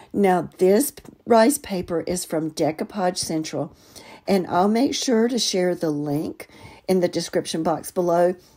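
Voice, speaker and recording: With a dark, mellow tone and medium pitch, a woman speaks at a fairly slow pace with lively intonation. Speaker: crafts youtuber. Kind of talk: tutorial narration.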